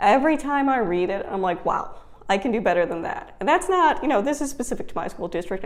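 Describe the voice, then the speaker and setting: Her American accent comes with lively intonation as a woman talks at a fairly quick pace. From Wisconsin. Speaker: homeschooling mom and vlogger. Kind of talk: casual vlog talk. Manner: conversational with fillers.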